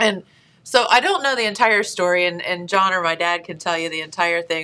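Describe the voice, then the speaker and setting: This woman has a fairly low pitch and a bright, sharp tone. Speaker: show host. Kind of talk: casual talk show chat, storytelling. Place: studio.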